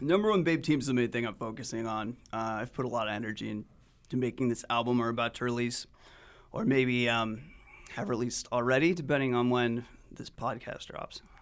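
On a very clean recording with a silent background, a man with an American accent talks in an ordinary speaking voice at a medium pitch, a fairly quick pace and ordinary pitch variation. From Utah, Salt Lake City. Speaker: indie-pop musician, band frontman. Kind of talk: casual interview. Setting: radio studio.

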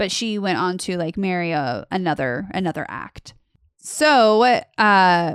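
The speech unfolds at a fairly slow pace with ordinary pitch variation on a very clean recording with a silent background. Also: woman. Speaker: podcast host. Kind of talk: casual storytelling podcast. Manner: animated, joking.

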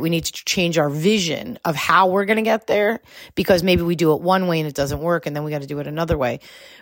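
Speaking fairly quickly, a woman with a fairly low pitch and ordinary pitch variation has an unremarkable speaking voice on a very clean recording with a silent background. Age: 40s. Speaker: business coach and podcast host. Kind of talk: solo podcast monologue. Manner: casual, conversational with fillers.

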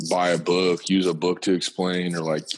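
A man talks at a moderate pace in a low pitch. His voice shows little pitch movement.

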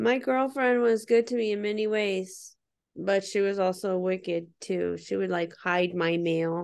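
A woman speaks in a plain, everyday voice at medium pitch and a fairly slow pace. Her pitch varies in an ordinary way over a quiet background. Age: 40s. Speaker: podcast co-host. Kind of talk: casual chat.

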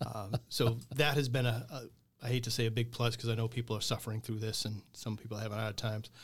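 A man with a medium pitch talks at a very fast pace, hardly pausing, his voice somewhat breathy. His intonation stays monotone and flat in a very clean recording with a silent background. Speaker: business owner. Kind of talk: casual interview chat.

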